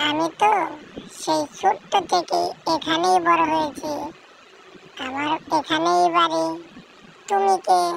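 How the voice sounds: A female-sounding cartoonish character voice, high in pitch, swings very widely up and down. The pace is fairly slow.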